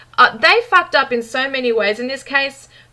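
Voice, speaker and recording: A woman's high-pitched, animated voice, with a bright, sharp tone and ordinary pitch variation. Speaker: true crime YouTuber. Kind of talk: commentary monologue. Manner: fast.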